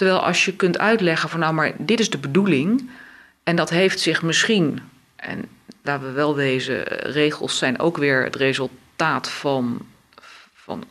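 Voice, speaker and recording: The speaker has lively intonation and a fairly slow pace. Background noise is noticeable. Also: woman, very deep, low pitch for a woman. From Africa and Brunei, expat childhood. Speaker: law professor and supervisory board member. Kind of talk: interview.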